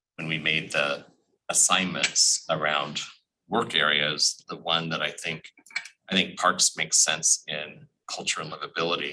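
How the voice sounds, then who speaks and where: With an American accent and a very deep, low pitch, a man speaks at a fairly slow pace with long, frequent pauses. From US Pacific Northwest, Portland, Oregon. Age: 60s. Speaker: city commissioner. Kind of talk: public meeting remarks.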